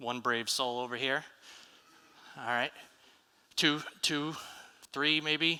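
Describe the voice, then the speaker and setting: With an American accent, a man at medium pitch speaks very slowly in a bright, sharp tone, keeping his intonation fairly even and taking long, frequent pauses. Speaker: software developer advocate giving a conference talk. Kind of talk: conference talk. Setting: conference stage with audience. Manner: conversational with frequent fillers and repetitions.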